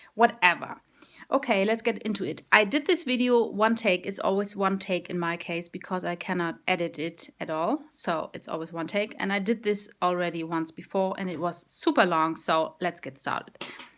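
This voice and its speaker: On a very clean recording with a silent background, a woman with a German accent speaks at a moderate pace and medium pitch with ordinary pitch variation. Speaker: vegan vlogger. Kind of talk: casual video blog. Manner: halting.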